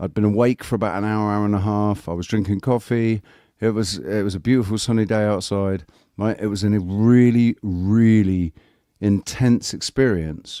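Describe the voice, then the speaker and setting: In a very clean recording with a silent background, a man speaks with a British accent at a moderate pace. His tone is dark and mellow, his pitch fairly low, and his intonation fairly even. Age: 40s. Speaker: livestream host. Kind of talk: casual chat. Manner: halting.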